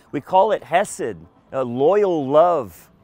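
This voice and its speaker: A man's voice comes through with a dry sound and no echo. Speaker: tour guide pastor. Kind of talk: lecture. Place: waterside. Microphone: headset.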